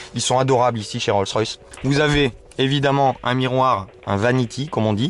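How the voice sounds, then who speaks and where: A man's medium-pitched voice with fairly even intonation, at a moderate pace. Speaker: car reviewer, video host. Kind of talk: casual car review vlog. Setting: in the back seat of a car. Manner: hesitant, many fillers.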